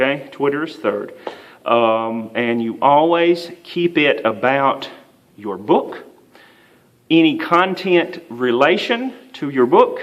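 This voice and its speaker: There is audible room echo as a man with a Southern US accent speaks at a fairly high pitch. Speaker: writing instructor. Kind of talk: lecture. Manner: frequent fillers (uh, um).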